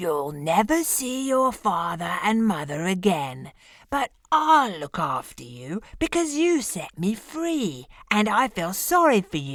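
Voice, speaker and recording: Putting on a character voice, a woman of medium pitch speaks at a fairly slow pace with very wide pitch swings. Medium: read story. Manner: gruff, commanding.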